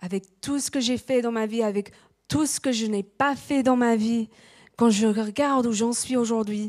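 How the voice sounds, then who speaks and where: A woman speaks at a fairly slow pace with fairly even intonation and a fairly high pitch. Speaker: preacher. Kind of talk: sermon. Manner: halting.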